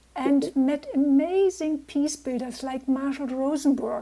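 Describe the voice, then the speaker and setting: A woman with a German accent speaks at a moderate pace in a dark, mellow tone, high in pitch, with fairly even intonation. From Germany. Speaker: peace builder. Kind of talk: interview.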